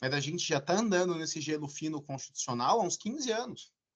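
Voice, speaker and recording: A man with a plain, everyday voice talks at a fairly quick pace. His pitch is fairly high and his intonation lively. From Brazil, São Paulo area. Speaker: law professor. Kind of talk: lecture.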